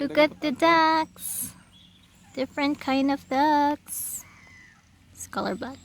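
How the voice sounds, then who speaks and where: Delivered at a very slow pace with a Visayan Filipino accent, the speech has big swings in loudness and long, frequent pauses. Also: woman. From Philippines (Visayas). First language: Bisaya (Cebuano). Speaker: vlogger. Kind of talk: casual vlog narration. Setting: outdoors.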